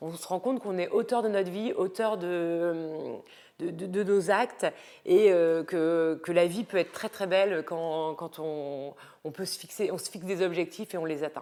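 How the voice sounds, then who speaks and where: A woman with a fairly low pitch and a dark, mellow tone speaks at a fairly slow pace, with ordinary pitch variation and big swings in loudness, on a very clean recording with a silent background. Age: 30s. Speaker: lifestyle and style coach vlogger. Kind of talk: casual vlog book recommendations. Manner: hesitant, many fillers.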